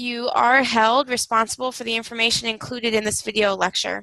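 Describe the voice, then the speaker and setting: A woman with a Wisconsin accent speaks at a moderate pace and a fairly high pitch. Her tone is bright and sharp, and the sound is dry and close with no echo. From Wisconsin, US Upper Midwest. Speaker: university instructor. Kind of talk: recorded video lecture. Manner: frequent fillers (um, uh).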